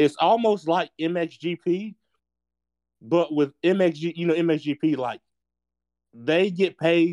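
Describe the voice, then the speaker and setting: With a North Carolina accent and a fairly high pitch, a man speaks against a quiet background in a dry, close sound with no echo. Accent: Southern US (North Carolina). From North Carolina, US. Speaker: podcast co-host, motocross track builder. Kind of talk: casual chat.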